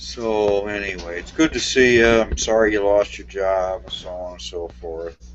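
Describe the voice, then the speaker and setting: With noticeable background noise, the voice moves at a moderate pace with hardly any pauses, very wide pitch swings, and big swings in loudness. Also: man, fairly low pitch for a man. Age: 60s. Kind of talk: casual chat.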